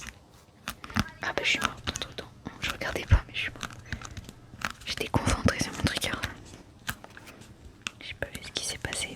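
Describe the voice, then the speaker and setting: A woman's whispering, with long, frequent pauses and big swings in loudness, over noticeable background noise. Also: moderate pace. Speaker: ASMR gaming content creator. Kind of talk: ASMR gaming voice-over. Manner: soft-spoken, whispered.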